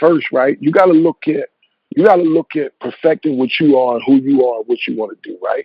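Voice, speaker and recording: A man with an American accent, an ordinary speaking voice, a fairly quick pace and ordinary pitch variation. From Eastern Shore of Maryland. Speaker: music executive. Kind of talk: interview answer, advice. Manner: casual, conversational.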